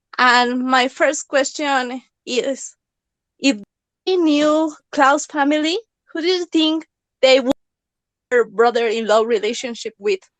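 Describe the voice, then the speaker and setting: A woman with a Mexican accent speaks at a high pitch and a fairly slow pace, with long, frequent pauses. Her pitch varies in an ordinary way, and the sound is dry and close with no echo. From Mexico. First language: Spanish. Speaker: fan. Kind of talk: casual chat. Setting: online audio room.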